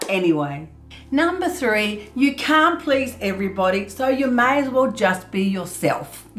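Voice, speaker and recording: A loud woman with a high pitch and very wide pitch swings speaks at a moderate pace amid audible room echo. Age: 50s. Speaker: art youtuber. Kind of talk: tutorial. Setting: art studio. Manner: laughs a lot.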